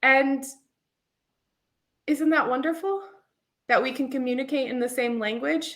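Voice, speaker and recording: A moderate pace with ordinary pitch variation, in an American accent. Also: woman. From United States. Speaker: podcast host, English teacher trainer. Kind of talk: solo podcast monologue. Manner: chatty, casual with many fillers.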